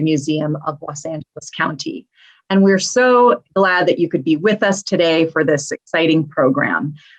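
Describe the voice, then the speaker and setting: This woman has an unremarkable speaking voice, moving at a moderate pace with lively intonation. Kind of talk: event host introduction.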